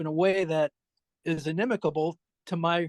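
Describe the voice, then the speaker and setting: The speaker is a man with a high pitch. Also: dry, close sound with no echo, quiet background. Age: 70s. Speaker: chess collector. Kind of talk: casual chat. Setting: video call. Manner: halting.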